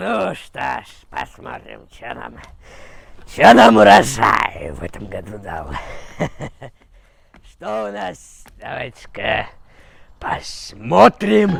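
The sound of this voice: A man puts on a raspy character voice, fairly low in pitch, with big swings in loudness. He goes at a fairly slow pace and leaves long, frequent pauses.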